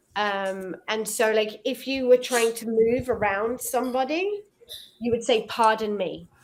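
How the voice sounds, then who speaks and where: A woman with an English accent, fairly high in pitch, fairly slow, with fairly even intonation. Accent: very English. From Israel, schooled in England. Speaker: online English tutor. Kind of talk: casual chat. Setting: video call.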